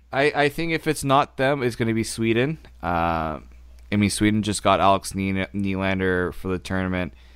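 In a very clean recording with a silent background, a man with a plain, everyday voice talks at a fairly quick pace, his fairly low pitch carried by lively intonation. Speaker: podcast host. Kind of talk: casual hockey podcast chat.

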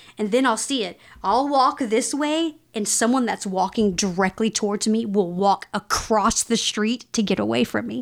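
With a Texan accent, a woman speaks at a fairly high pitch and a moderate pace. Her pitch variation is ordinary, with hardly any pauses. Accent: Texan American. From Texas. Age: 40s. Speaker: political commentator. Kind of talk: casual chat.

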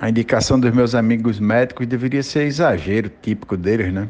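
Here is a man with an unremarkable speaking voice at medium pitch. His pace is moderate and his pitch varies in an ordinary way. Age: 40s. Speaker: businessman, multiple sclerosis patient. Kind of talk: personal testimony.

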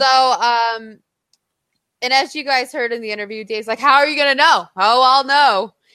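A woman speaks at a moderate pace in a high, raised and projected voice with a bright, sharp tone and ordinary pitch variation. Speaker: podcast host. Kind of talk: casual chat. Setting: remote recording, separate rooms.

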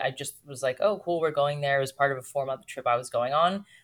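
A woman with an American accent and a very deep, low pitch, fairly even intonation and a very fast pace. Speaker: podcast host and podcast strategist. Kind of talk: casual interview chat.

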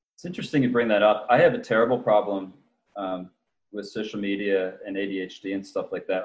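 A plain, everyday voice from a man, fairly low in pitch, with ordinary pitch variation and a fairly quick pace. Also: big swings in loudness. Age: 40s. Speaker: author. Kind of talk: casual chat.

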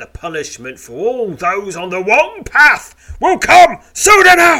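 Speaking very slowly, the man draws out his words. The voice he uses is a put-on character voice. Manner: sneering, menacing.

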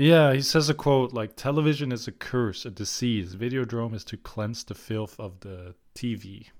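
With a medium pitch and ordinary pitch variation, a man talks in a plain, everyday voice with hardly any pauses and big swings in loudness. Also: moderate pace, very clean recording, silent background. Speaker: film podcast co-host. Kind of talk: casual chat.

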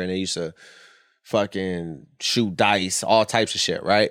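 A man with a plain, everyday voice and an American accent, fairly quick in pace, on a very clean recording with a silent background. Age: 30s. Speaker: podcast host, former adult performer. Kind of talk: casual chat.

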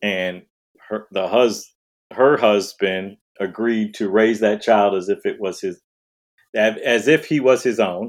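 A man talks in an American accent with a fairly low pitch. He has a plain, everyday voice. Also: fairly even intonation, fairly slow pace. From Detroit, Michigan. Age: 50s. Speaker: diversity speaker. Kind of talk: casual interview chat.

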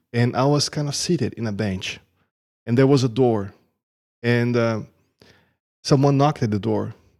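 Speaking at medium pitch with a Portuguese accent, a man leaves long, frequent pauses on a very clean recording with a silent background. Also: ordinary pitch variation, moderate pace. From Brazil. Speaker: churchgoer sharing testimony. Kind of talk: testimony. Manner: halting.

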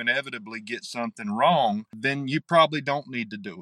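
A man with an Appalachian accent talks at a moderate pace in a bright, sharp tone, with a dry, close sound with no echo and a quiet background. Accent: Appalachian Southern US. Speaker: novelist. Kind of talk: interview. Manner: halting.

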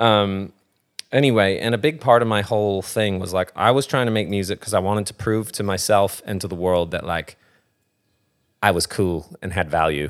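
In a very clean recording with a silent background, a man with an American accent and a plain, everyday voice speaks at a fairly low pitch and a moderate pace, with ordinary pitch variation. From US, California (Thousand Oaks, near Los Angeles). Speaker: musician. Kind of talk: casual chat.

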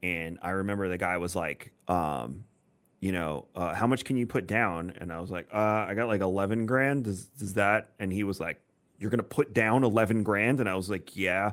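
A man talks at a moderate pace, his pitch varying in an ordinary way. The background is silent and the recording very clean. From New York, Long Island. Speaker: podcast host. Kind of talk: casual chat.

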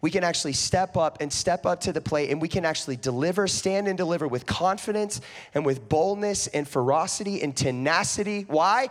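With an animated tone and lively intonation, a man speaks at a high pitch and a fairly quick pace. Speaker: preacher. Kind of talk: sermon. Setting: church with live audience. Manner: animated, conversational preacher.

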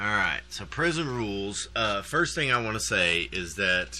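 A man with a fairly low pitch and bright, sharp tone talks at a fairly slow pace, animated, with vocal fry and very wide pitch swings. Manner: rambling, animated, self-deprecating joking with laughter.

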